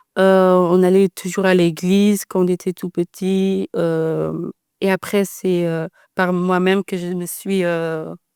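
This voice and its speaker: At a very slow pace, a woman with a dark, mellow tone speaks at a medium pitch in a monotone, flat way. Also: dry, close sound with no echo, very clean recording, silent background. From Netherlands. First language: Dutch (speaking French). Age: 20s. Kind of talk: podcast interview. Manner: hesitant, many fillers.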